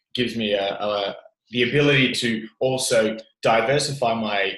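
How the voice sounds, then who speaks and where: Speaking with an Australian accent, a man keeps a medium pitch and ordinary pitch variation. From Australia, Italian family. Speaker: gym owner. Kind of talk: casual interview chat. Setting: remote call.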